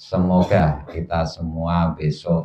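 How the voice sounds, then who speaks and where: With a Javanese accent, a man speaks in a very deep, low pitch. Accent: Javanese-accented Indonesian. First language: Javanese (speaking Indonesian). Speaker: Islamic religious teacher. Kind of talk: religious study lecture. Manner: halting, pausing to think.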